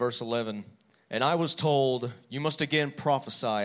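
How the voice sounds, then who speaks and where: Over a silent background in a very clean recording, a man with a bright, sharp tone talks at a fairly slow pace. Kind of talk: reading aloud scripture. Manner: measured, steady.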